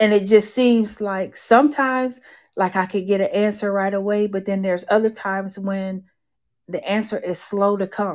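An unremarkable speaking voice from a woman at medium pitch, moderate in pace, with fairly even intonation on a very clean recording with a silent background. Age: 40s. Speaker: podcast host. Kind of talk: faith-based monologue. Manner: casual, conversational.

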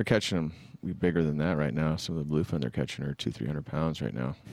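A man talks at a very fast pace in a very deep, low voice with vocal fry. His pitch varies in an ordinary way, and the recording is very clean with a silent background. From Northern California, Bay Area. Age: 50s. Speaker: musician. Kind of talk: casual chat.

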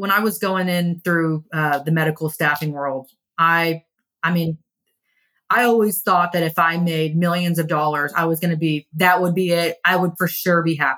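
A woman with an American accent, a fairly low pitch, a bright, sharp tone and a moderate pace. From Texas (Kingwood, Houston area). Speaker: recruitment business owner. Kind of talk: interview chat.

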